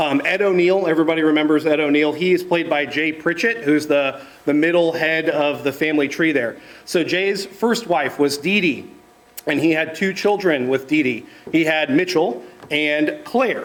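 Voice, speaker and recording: There is noticeable background noise behind a man's fairly high voice. His loudness stays very even, and his pitch varies in an ordinary way. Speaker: estate planning panelist. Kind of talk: seminar presentation. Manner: fast.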